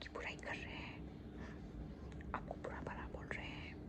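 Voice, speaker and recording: Someone is whispering. There is noticeable background noise behind the voice. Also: woman. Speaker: ASMR creator. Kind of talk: ASMR roleplay talking to a friend. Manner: calming, reassuring, soft-spoken.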